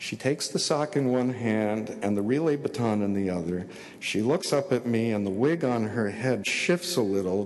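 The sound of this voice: The clip features reading. It is an unforced reading voice.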